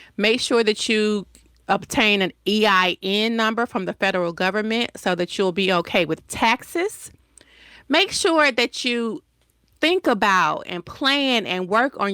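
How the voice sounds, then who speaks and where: A woman with a Southern US accent speaks fairly slowly at a medium pitch, her tone bright and sharp and her intonation lively. The recording is very clean, with a silent background and a dry, close sound with no echo. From US South, Decatur, Georgia. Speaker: entrepreneur. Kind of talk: interview.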